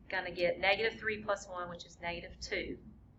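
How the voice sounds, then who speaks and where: A woman's voice at a moderate pace with fairly even intonation and audible room echo. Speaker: math teacher. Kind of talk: lecture.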